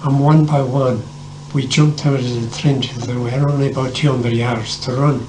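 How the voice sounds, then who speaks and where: A man talks fairly quickly in a medium pitch with monotone, flat intonation. Audible room echo and noticeable background noise surround his voice. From Ireland, County Tipperary. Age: 80s+. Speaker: war veteran. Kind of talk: oral history interview.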